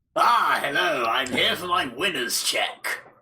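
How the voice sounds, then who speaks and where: The pace is fairly slow. A man speaks in a put-on character voice. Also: high pitch for a man. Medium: audio drama. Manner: grandiose, cheerfully menacing.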